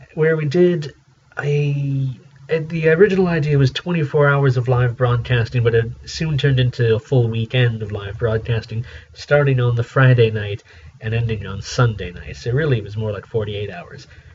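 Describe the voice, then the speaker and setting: A man at a moderate pace with big swings in loudness, against noticeable background noise. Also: medium pitch for a man, ordinary pitch variation. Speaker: community radio DJ. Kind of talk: solo radio show retrospective, casual talk. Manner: conversational; hesitant, many fillers.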